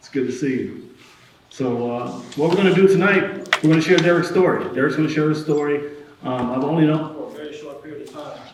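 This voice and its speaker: Loud and at a very fast pace, a man speaks in a fairly high pitch with ordinary pitch variation, amid noticeable background noise and audible room echo. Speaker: event host, person in long-term recovery. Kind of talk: live event interview. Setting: stage with audience.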